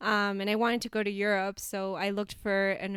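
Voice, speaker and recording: A woman's unremarkable speaking voice, medium in pitch and moderate in pace, on a very clean recording with a silent background. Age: 20s. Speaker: business founder. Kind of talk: interview.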